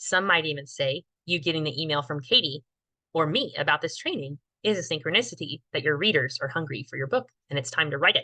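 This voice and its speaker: A woman's very deep, low voice at a very fast pace, with lively intonation. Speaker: book writing coach. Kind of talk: online workshop training.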